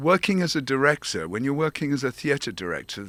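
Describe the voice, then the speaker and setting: With very wide pitch swings and a bright, sharp tone, a man speaks fairly high at a moderate pace in a dry, close recording with no echo, very clean against a silent background. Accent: English. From England. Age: 70s. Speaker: theater director and founder. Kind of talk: interview.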